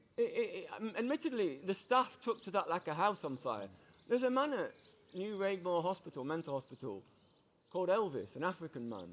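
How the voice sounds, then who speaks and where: Talking at a fairly quick pace in a Yorkshire accent, a man uses a high pitch with very wide pitch swings. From Yorkshire, England. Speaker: passerby. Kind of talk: casual chat. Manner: halting.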